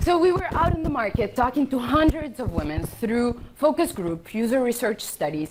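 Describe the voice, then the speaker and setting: With a non-native accent, a woman talks at a moderate pace in a high pitch with very wide pitch swings, over noticeable background noise. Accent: foreign. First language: not English (English is her third of five). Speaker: startup founder. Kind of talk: pitch presentation.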